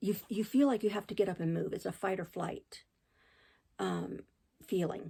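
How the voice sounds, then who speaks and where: Moderate-paced speech from a woman, broken by long, frequent pauses. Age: 60s. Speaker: crochet channel host. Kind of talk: personal testimony. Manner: halting, many fillers and restarts.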